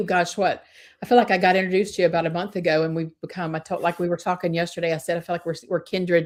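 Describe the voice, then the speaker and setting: In a very clean recording with a silent background, someone talks at a very fast pace in an American accent. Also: woman. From Georgia, US South. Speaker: real estate agent. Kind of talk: livestream interview. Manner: hesitant, many fillers.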